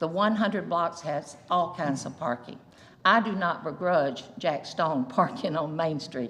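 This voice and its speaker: Audible room echo carries a woman's fairly low voice in an American accent. Her intonation is lively and her pace fairly slow. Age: 70s. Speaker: local store owner at public comment. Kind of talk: public comment at council meeting. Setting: city council chamber.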